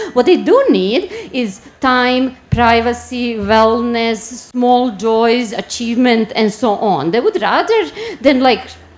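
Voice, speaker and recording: A woman speaks at a fairly high pitch with ordinary pitch variation. Noticeable background noise runs behind her. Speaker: marketing strategy director. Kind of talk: conference talk. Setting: stage with audience. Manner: fast.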